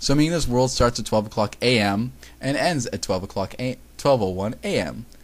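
Someone is reading aloud in a natural voice throughout.

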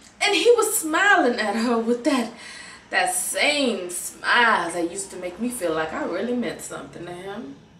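Against light background noise and audible room echo, a woman speaks at a moderate pace. Her loudness swings widely. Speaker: actor performing a monologue. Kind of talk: dramatic monologue. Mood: bitter, hurt, emotional. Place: home room. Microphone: webcam.

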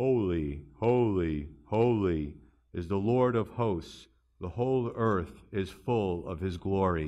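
Over a quiet background, a man uses a put-on character voice with a very deep, low pitch at a fairly slow pace. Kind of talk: solemn, scriptural reading.

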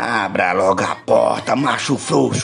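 This man's delivery is fairly slow. He is using a put-on character voice. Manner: harsh, commanding, insulting.

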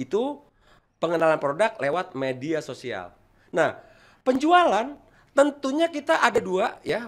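Fairly slow, a man speaks at a high pitch with very wide pitch swings. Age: 50s. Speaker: toll road employee and ornamental plant seller; guest, plant seller. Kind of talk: online talk with plant-care tutorial. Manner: halting, with frequent fillers. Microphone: studio mic.

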